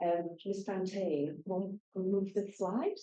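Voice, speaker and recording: The speaker is a woman. She talks in a British accent. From United Kingdom. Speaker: school garden educator. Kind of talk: presentation. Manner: loud; animated.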